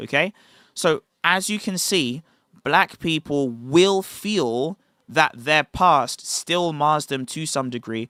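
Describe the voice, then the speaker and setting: Dry and close with no echo on a very clean recording with a silent background, a man with a British accent speaks at a fairly high pitch, his tone bright and sharp and his intonation lively. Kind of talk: livestream talk. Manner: enunciated.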